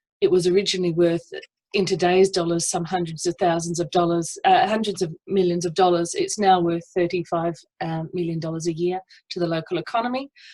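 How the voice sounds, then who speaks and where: With an Australian accent, a woman speaks at a fairly quick pace. Her fairly low voice stays monotone, with flat intonation. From South Australia. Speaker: estuarine ecologist and PhD student. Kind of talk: conference presentation.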